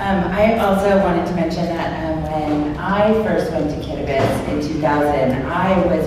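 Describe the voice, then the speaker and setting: Strong room echo fills this recording of a woman. Noticeable background noise sits behind her. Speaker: former Peace Corps volunteer and career coach. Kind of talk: presentation talk. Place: hall. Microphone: camera far.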